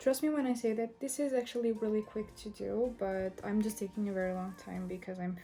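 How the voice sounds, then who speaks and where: Noticeable background noise accompanies the voice, which has ordinary pitch variation. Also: woman. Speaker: beauty youtuber. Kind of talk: tutorial.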